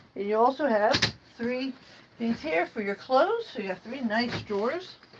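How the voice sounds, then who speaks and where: Her high pitch carries lively intonation at a moderate pace as this woman speaks. Noticeable background noise is present. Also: long, frequent pauses. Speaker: RV reviewer. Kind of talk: walkthrough tour. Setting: indoors, inside an RV at a trade show. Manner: casual, chatty.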